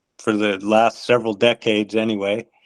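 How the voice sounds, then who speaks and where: In an American accent, a man of medium pitch speaks at a fairly slow pace with monotone, flat intonation. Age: 60s. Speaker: endurance athlete. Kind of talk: interview. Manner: halting, many fillers.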